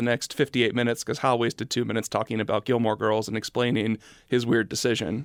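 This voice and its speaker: On a very clean recording with a silent background, a man speaks very fast at a medium pitch in a dry, close sound with no echo. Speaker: podcast host. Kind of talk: casual chat. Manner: loud; steady volume.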